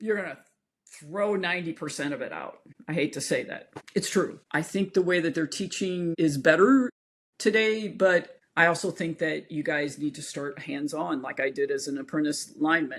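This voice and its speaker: In an unremarkable speaking voice, a woman talks at a fairly low pitch. Her pace is moderate and her pitch variation ordinary. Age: 50s. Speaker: equine veterinarian. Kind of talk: interview. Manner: conversational, informal.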